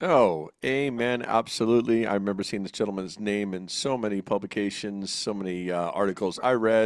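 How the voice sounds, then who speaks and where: An American-accented man with an ordinary speaking voice, fairly low in pitch with ordinary variation, fairly quick and with hardly any pauses, on a very clean recording with a silent background. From New Jersey. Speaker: podcast host. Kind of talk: casual interview chat. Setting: studio, co-host next to him.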